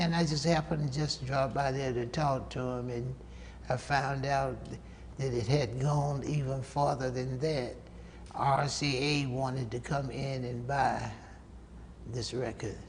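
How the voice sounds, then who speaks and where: Amid audible room echo, a man with a Southern US accent speaks somewhat breathily at a fairly slow pace, his medium pitch in a monotone, flat intonation broken by long, frequent pauses. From US South, North Carolina. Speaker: saxophonist. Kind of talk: interview. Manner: halting.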